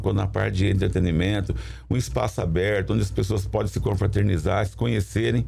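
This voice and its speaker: This man's voice is very deep and low, with very wide swings in pitch. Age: 60s. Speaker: municipal sports secretary. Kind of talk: studio interview. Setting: studio. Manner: halting, with repetitions.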